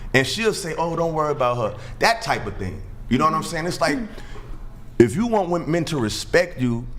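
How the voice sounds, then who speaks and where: Over noticeable background noise, a man talks at a fairly quick pace with very wide pitch swings and long, frequent pauses. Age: 30s. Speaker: podcast guest. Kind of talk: casual debate. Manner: halting.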